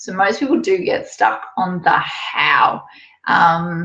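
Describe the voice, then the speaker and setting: A woman speaks in a somewhat breathy voice. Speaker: online business coach for cake decorators. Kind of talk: webinar presentation. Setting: live online webinar.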